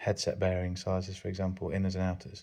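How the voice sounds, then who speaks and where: A man's very deep, low pitch with a dark, mellow tone. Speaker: bike mechanic. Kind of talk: ASMR workshop tour. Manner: calm, gentle.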